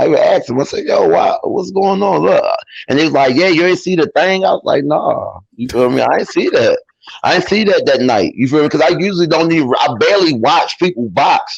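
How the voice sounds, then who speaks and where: A man with a Baltimore accent, at a fairly quick pace and very even loudness. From East Baltimore, Maryland, US. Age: 30s. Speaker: amateur boxer. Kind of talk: interview. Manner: casual, animated.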